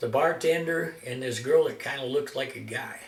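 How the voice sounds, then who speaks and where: Noticeable background noise and audible room echo surround a man's voice. He speaks at a moderate pace with ordinary pitch variation. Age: 60s. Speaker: amateur guitarist and video maker. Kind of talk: casual storytelling monologue. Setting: at home, self-recorded. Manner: halting, many fillers.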